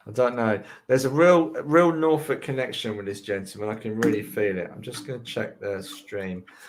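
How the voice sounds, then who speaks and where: At a moderate pace and with hardly any pauses, a man with a medium pitch and a slight London accent uses lively intonation and big swings in loudness. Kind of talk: live mediumship reading.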